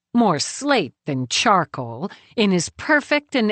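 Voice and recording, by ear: The speaker is reading aloud in a natural voice, and the background is quiet.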